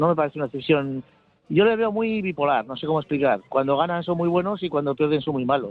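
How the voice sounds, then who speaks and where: Talking at a very fast pace, a man with a fairly high pitch keeps his intonation lively. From Bilbao, Spain. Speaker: football supporters club member. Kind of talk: radio interview.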